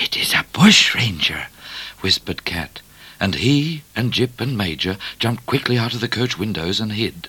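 This recording is plain reading aloud.

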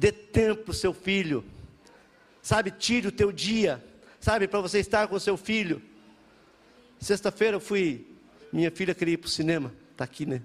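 Long, frequent pauses break up a man's speech at a moderate pace. His pitch is high, with ordinary variation. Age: 50s. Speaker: pastor. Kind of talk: sermon.

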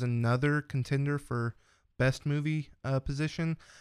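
A man speaks at a moderate pace in a fairly high pitch, with a normal speaking voice. The recording is very clean, with a silent background. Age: 20s. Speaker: podcast guest, longtime listener. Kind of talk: casual chat.

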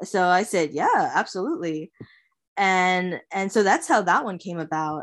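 Against a quiet background, a woman with an American accent talks at a moderate pace in an unremarkable speaking voice, her pitch medium. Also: ordinary pitch variation. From US, Long Island, New York. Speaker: illustrator. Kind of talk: casual interview.

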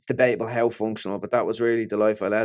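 A man speaks with a Dublin accent. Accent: Dublin Irish. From Ireland, Dublin. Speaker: neuroscientist and author. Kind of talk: interview conversation.

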